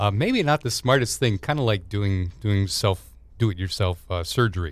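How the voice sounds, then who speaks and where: A man speaks in a plain, everyday voice at a fairly low pitch, moderate pace and with lively intonation. The recording is very clean, with a silent background. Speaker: radio host. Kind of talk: radio interview, show intro and outro.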